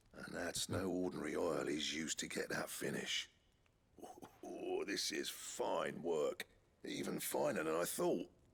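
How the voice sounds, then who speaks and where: A man performs a put-on character voice at a moderate pace. His voice is raspy. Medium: video game.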